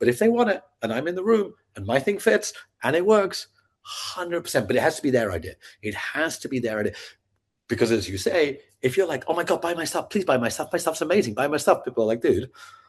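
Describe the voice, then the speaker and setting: A man's very fast, animated voice, fairly high in pitch, with vocal fry and very wide pitch swings. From Scotland. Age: 50s. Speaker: sales trainer and entrepreneur. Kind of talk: podcast interview.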